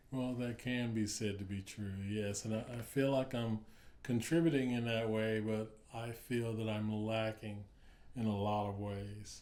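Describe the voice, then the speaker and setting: A man with an American accent uses a normal speaking voice at a fairly low pitch. He talks at a fairly slow pace with fairly even intonation. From US South, North Carolina. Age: 60s. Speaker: writer and poet. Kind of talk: interview.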